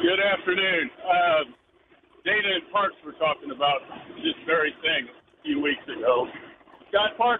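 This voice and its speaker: A man with an American accent speaks at a moderate pace, his high pitch making very wide swings. There is noticeable background noise. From Missouri. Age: 70s. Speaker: caller. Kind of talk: casual chat. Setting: phone call.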